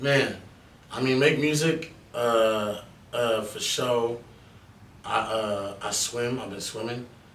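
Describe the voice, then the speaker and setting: A man with a medium pitch and ordinary pitch variation speaks at a very slow pace with long, frequent pauses, amid audible room echo and noticeable background noise. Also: big swings in loudness. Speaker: rapper. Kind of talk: casual podcast interview. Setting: studio.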